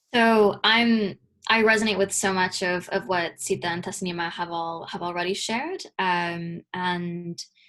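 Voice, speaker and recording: A woman with an American accent speaks in an ordinary speaking voice at a fairly slow pace, her medium pitch and fairly even intonation set against a quiet background. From US, Michigan (metro Detroit). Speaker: community organiser and researcher. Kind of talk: panel talk. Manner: repetitive, stumbling.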